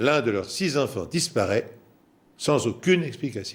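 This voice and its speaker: A man speaks at a fairly slow pace in a somewhat breathy, fairly high voice with very wide pitch swings. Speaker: TV presenter and storyteller. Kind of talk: true crime documentary presentation.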